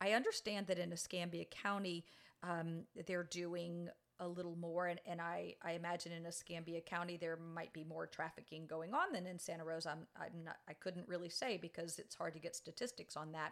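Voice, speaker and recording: This woman speaks with a New Orleans accent. Her pitch is fairly low and her intonation fairly even. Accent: Southern US (New Orleans area). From US South, New Orleans. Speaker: nonprofit director. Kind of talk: interview.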